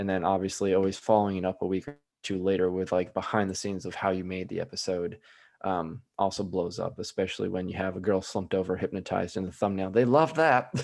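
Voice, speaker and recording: Over a quiet background, a man with a Midwestern American accent speaks at a very fast pace, very deep and low in pitch, with ordinary pitch variation. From US Midwest. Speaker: hypnotist. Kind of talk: casual chat.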